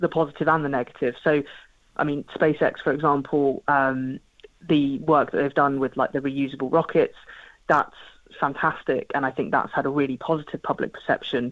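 The speaker has a southern English accent. The pace is moderate. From southern England (Portsmouth). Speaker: space scientist and projects manager. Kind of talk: radio interview.

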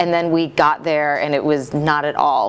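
Over noticeable background noise, a woman with an American accent talks at a moderate pace. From US Midwest. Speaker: bridal salon owner. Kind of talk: interview.

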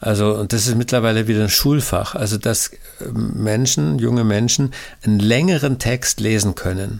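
A man talks at a moderate pace in a normal speaking voice. His pitch sits in the medium range with ordinary variation. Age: 60s. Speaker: pastor and author. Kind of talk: interview. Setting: recorded at home, file sent.

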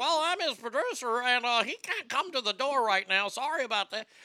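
Putting on a character voice, a woman speaks high in pitch at a moderate pace. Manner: polite, apologetic.

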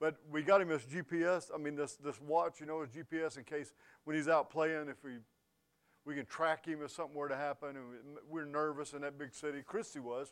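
With a plain, everyday voice, a man of fairly high pitch speaks at a moderate pace and with fairly even intonation. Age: 50s. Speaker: pastor. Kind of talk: sermon. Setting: church.

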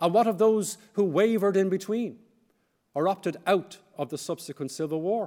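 A man with an Irish accent, high-pitched, at a fairly quick pace, with ordinary pitch variation, on a very clean recording with a silent background. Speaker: historian. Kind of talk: lecture. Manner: formal.

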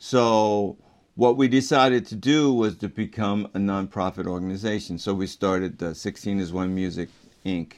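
Over a quiet background, a man with an American accent and an unremarkable speaking voice talks at a moderate pace in a fairly low pitch with ordinary pitch variation. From Baltimore, US. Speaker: jazz trombonist. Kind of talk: interview.

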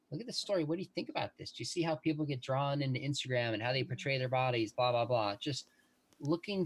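A somewhat breathy man speaks at a medium pitch in a very clean recording with a silent background. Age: 40s. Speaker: professor. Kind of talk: interview.

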